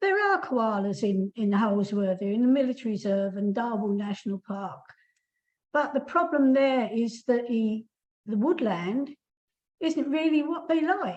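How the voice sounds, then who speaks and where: Speaking at a fairly slow pace, a woman with an English accent uses a fairly high pitch and lively intonation. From England. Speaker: koala campaigner. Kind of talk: webinar Q&A.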